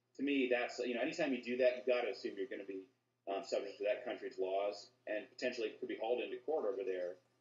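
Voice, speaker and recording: A man talks at a very fast pace. The room echo is audible. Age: 30s. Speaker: lawyer. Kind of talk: interview. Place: home room. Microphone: video call.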